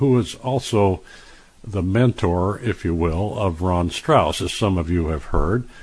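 This man's voice is fairly low and somewhat breathy. He talks at a very slow pace with lively intonation. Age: 70s. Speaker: radio host and health author. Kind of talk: radio interview. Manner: halting, with frequent uh fillers.

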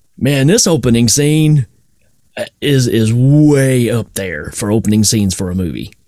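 A man's medium-pitched voice with a dark, mellow tone, lively intonation and a fairly slow pace. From Tennessee. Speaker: podcast host. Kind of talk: casual chat.

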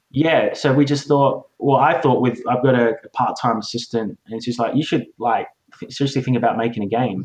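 Someone with an Australian accent talks at a moderate pace with fairly even intonation. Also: man. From Australia, Adelaide. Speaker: game designer and illustrator. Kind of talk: interview. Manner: hesitant, many fillers.

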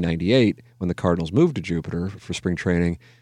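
A man with an American accent, a very deep, low pitch and a very fast pace, over a quiet background. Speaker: sports radio host. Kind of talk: casual chat. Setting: studio.

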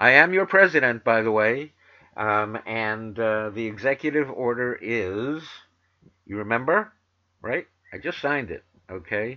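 A man with an American accent, fairly slow pace, lively intonation, and long, frequent pauses. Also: medium pitch for a man. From New York City. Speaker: vegan talk radio host. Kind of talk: talk radio show and interview.

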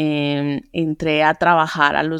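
A woman talks at a very slow pace, her pitch very deep and low with ordinary variation. The recording is very clean, with a silent background. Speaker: entrepreneur. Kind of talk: interview. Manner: halting.

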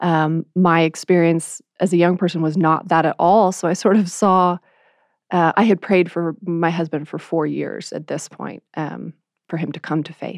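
At a moderate pace, a woman with a fairly low pitch speaks in a monotone, flat way with big swings in loudness, in a dry, close sound with no echo and a quiet background. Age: 20s. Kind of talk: faith testimony in conversation.

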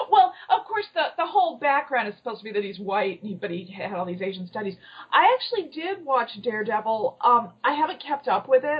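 A woman's fairly high voice at a fairly quick pace, with very wide pitch swings, hardly any pauses, and noticeable background noise. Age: 50s. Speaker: IT professional and blogger. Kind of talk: casual chat.

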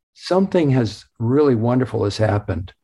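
A somewhat breathy voice with a dark, mellow tone and ordinary pitch variation, on a very clean recording with a silent background. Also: man. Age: 70s. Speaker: author. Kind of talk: interview.

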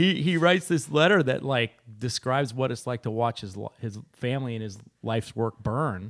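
A man with an American accent speaks at a moderate pace and medium pitch, with an ordinary speaking voice. The sound is dry and close, with no echo. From Sonoma, California. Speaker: winery owner. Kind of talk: casual chat.

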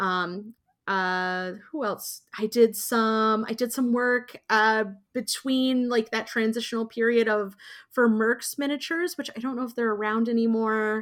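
Speaking fairly slowly with an American accent, a woman uses a fairly high pitch and fairly even intonation. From US Midwest (Indiana). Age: 30s. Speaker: professional miniatures painter. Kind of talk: casual interview. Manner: halting, many fillers.

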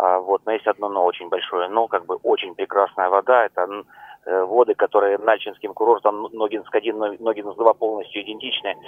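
Monotone and flat, a man talks at a fairly low pitch. He keeps a moderate pace. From Stavropol, southern Russia. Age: 40s. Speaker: radio caller. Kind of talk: phone-in call.

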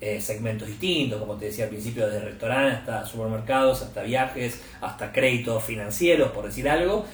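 Noticeable background noise and audible room echo surround a man at medium pitch. He speaks at a fairly quick pace with hardly any pauses and ordinary pitch variation. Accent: Argentine. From Argentina. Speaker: media executive at a tech company. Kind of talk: interview conversation.

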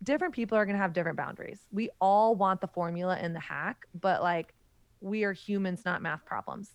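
Against a quiet background, a woman talks at a fairly quick pace in a normal speaking voice. Her pitch is medium and she has an American accent. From US South. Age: 30s. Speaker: author and podcast host. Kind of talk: interview conversation.

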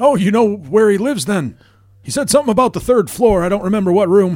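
A man puts on a character voice, high-pitched with lively intonation. He talks very fast. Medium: actual play. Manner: casual, folksy bluffing.

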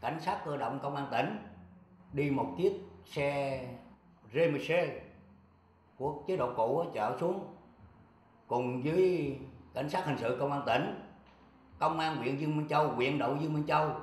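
A man at a fairly high pitch with ordinary pitch variation, a fairly slow pace, long, frequent pauses and audible room echo. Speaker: retired police officer. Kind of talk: interview testimony.

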